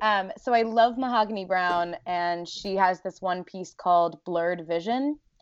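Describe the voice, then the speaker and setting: Against a quiet background, a woman uses an ordinary speaking voice at a medium pitch with ordinary pitch variation. She keeps a moderate pace with hardly any pauses. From US Northeast, South Jersey. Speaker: poet. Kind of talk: casual interview chat.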